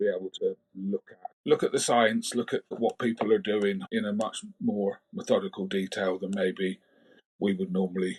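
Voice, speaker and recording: A man at a moderate pace in a Cornish accent, the sound dry and close with no echo. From England, Cornwall. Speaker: biosecurity advisor. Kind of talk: podcast interview.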